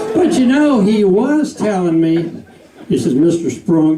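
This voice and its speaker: A man with a Southern US accent at a very slow pace, with very wide pitch swings, audible room echo and noticeable background noise. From US South. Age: 70s. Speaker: comedian. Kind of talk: stand-up. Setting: stage with audience.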